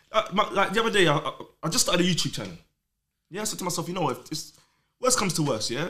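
The voice has a London accent and a bright, sharp tone. Its pitch swings very widely. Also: man. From London, Islington. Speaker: rave promoter. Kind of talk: casual chat.

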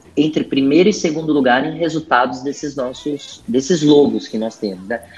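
A man talks at a moderate pace. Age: 40s. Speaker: HR director. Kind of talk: casual interview.

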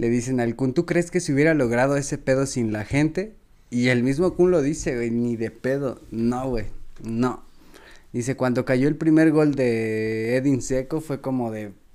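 A man's medium-pitched voice with a dark, mellow tone, a fairly slow pace and ordinary pitch variation, on a very clean recording with a silent background. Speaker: football podcast co-host. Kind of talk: casual chat.

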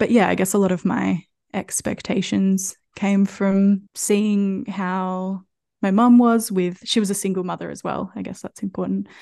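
This woman, with an Australian accent, speaks at a medium pitch and a fairly slow pace in a dark, mellow tone, her intonation monotone and flat while her loudness swings widely against a quiet background. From Australia, country Victoria. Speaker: podcast host and mother. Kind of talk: casual interview chat.

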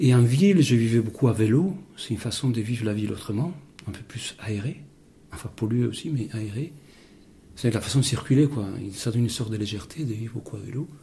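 A man's medium-pitched, somewhat breathy voice with a dark, mellow tone, lively intonation and a fairly quick pace. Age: 50s. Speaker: interviewee. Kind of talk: interview.

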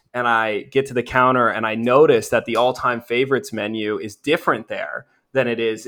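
A plain, everyday voice with an American accent, at a moderate pace with ordinary pitch variation. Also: man. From US upper Midwest. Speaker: minor league hockey team staffer. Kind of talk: casual interview.

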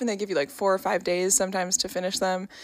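Here is a woman with an American accent and a plain, everyday voice. Her pitch is medium, with ordinary pitch variation. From New York. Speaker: podcast co-host and musician. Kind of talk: casual chat.

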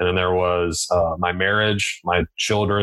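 This man's voice sits low in pitch, with a fairly bright tone, little pitch movement and a moderate pace.

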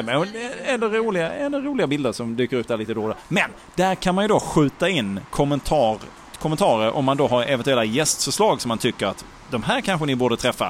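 Over noticeable background noise, a man talks at a fairly quick pace in a fairly high pitch, with very wide pitch swings. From Malmö, southern Sweden. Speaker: podcast co-host. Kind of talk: casual chat. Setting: bar on a busy street.

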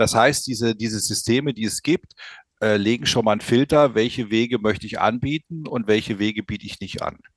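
A man with an ordinary speaking voice, medium pitch, and a fairly quick pace. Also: ordinary pitch variation. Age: 60s. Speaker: company founder presenting a product. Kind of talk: podcast interview.

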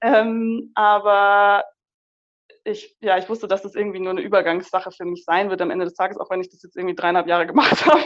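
This woman has an unremarkable speaking voice, pitched in the middle range with ordinary pitch variation. She talks at a fairly quick pace, and her volume rises and falls sharply. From Munich, Bavaria. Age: 20s. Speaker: psychologist and career coach. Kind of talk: casual interview.

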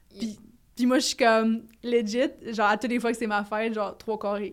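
On a very clean recording with a silent background, a woman with a Quebec accent speaks at a moderate pace and medium pitch in a monotone, flat intonation. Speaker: podcast co-host. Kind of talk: casual chat.

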